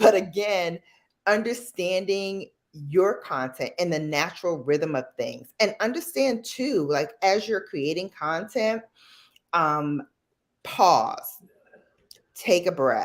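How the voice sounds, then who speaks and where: A woman's medium-pitched voice with lively intonation, a very slow pace and long, frequent pauses, on a very clean recording with a silent background. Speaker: beauty content creator. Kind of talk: live stream chat. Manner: animated.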